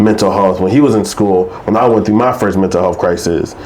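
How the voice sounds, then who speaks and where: A man with a fairly low pitch talks at a very fast pace with fairly even intonation. Noticeable background noise and audible room echo fill the recording. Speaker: mental health storyteller. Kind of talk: interview. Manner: mumbling; halting.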